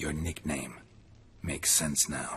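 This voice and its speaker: This is a put-on character voice. Background noise is clearly audible. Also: man, very deep, low pitch for a man. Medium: video game. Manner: terse, deadpan.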